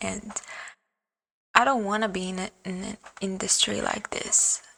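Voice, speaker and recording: A woman with a non-native accent speaks in a bright, sharp tone at medium pitch. Her pace is fairly slow and her intonation flat and monotone. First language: not English. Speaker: vlogger. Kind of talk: personal vlog monologue. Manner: hesitant, many fillers.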